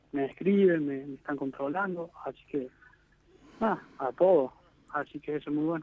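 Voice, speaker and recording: A man talks at a moderate pace. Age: 20s. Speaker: professional footballer. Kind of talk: interview.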